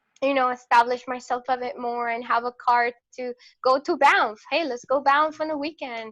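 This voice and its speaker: A woman with a Venezuelan accent speaks at a high pitch. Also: moderate pace. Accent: Venezuelan Spanish accent, noticeable. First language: Spanish. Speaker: photographer. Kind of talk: interview conversation. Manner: energetic; hesitant, many fillers.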